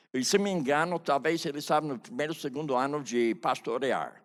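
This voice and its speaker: A man with an unremarkable speaking voice uses lively intonation at a moderate pace, captured on a very clean recording with a silent background. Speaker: pastor and biblical counseling teacher. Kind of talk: testimony. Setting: conference stage with audience.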